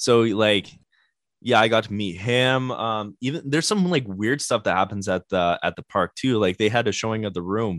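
In a Canadian accent, a plain, everyday voice moves at a moderate pace with ordinary pitch variation, the sound dry and close with no echo over a quiet background. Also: man, medium pitch for a man. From Canada, Winnipeg. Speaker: band guitarist. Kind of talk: casual chat.

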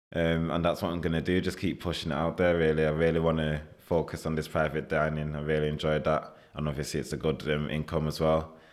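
A man with a Mancunian accent speaks very fast in a very deep, low voice, his intonation flat and monotone. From Manchester, northern England. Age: 20s. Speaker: chef. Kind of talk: casual interview.

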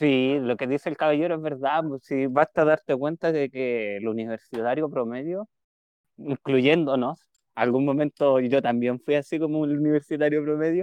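With a Chilean accent, a man speaks at a moderate pace in a fairly high pitch with ordinary pitch variation. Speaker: podcast co-host, psychologist. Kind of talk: casual chat.

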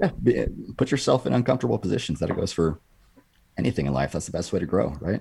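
A man with a West Coast US accent talks at a very fast pace in a very deep, low voice with a dark, mellow tone and vocal fry. His pitch swings very widely. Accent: General American (West Coast). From California. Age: 30s. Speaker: former SWAT officer and fitness content creator. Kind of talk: casual interview chat.

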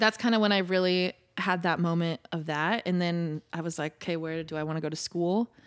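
A woman with an American accent speaks in a plain, everyday voice at a fairly quick pace, her fairly low pitch and fairly even intonation captured in a dry, close sound with no echo. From Indiana, US Midwest. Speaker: pop singer. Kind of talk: interview. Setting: live podcast studio.

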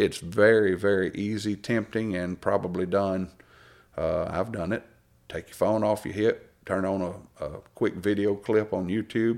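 In a Southern US accent, a man speaks at a fairly slow pace, with fairly low pitch and monotone, flat intonation. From Alabama. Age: 40s. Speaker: preacher. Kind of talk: casual chat.

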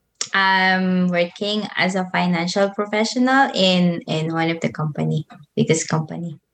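Speaking at a moderate pace, a woman with a Filipino accent uses a medium pitch. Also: ordinary pitch variation. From Philippines, Manila. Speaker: YouTuber and motivational speaker. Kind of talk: casual interview chat.

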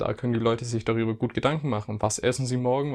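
Very fast speech carries fairly even intonation throughout. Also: man. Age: 20s. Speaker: podcast co-host, physiotherapy student. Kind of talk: casual chat.

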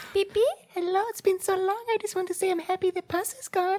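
A put-on character voice, squeaky and extremely high in pitch, races along at a very fast pace. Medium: actual play.

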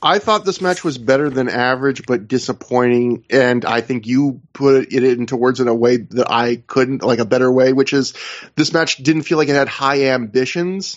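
Using an unremarkable speaking voice, a man talks at medium pitch and a moderate pace with ordinary pitch variation, very even loudness and hardly any pauses. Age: 30s. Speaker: wrestling podcast host. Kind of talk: casual chat.

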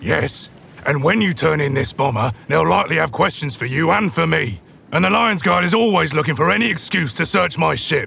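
Speaking at a fairly quick pace, a man with a fairly high pitch keeps his loudness very even while his pitch swings very widely. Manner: stern, scolding, shady.

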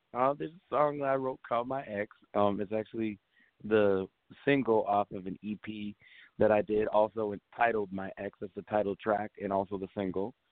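A man talks at a moderate pace with fairly even intonation and a fairly low pitch. He has a normal speaking voice. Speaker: singer-songwriter. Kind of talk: interview. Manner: casual.

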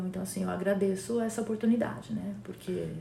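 A woman's medium-pitched voice at a fairly quick pace, with noticeable background noise. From Brazil. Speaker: community leader. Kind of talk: casual chat. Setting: recording with a Hudson River view, trains nearby.

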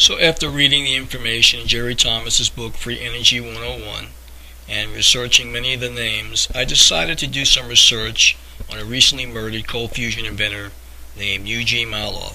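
The speech moves at a fairly quick pace with big swings in loudness. Noticeable background noise is present. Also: man. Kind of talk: true-crime narration. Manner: measured, earnest storyteller pace, conspiratorial undertone; plainly informative, somewhat formal, reading-like.

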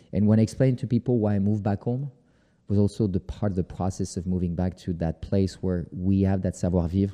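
Speaking fairly quickly with a French accent, a man uses a fairly low, dark, mellow voice with ordinary pitch variation against a quiet background. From France (Paris). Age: 40s. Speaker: photographer. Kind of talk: interview.

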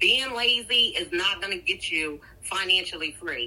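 Her intonation is lively, and her pitch sits in the medium range for a woman. Noticeable background noise runs behind her. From Delaware (Seaford). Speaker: budget coach. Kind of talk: casual interview chat. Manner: animated.

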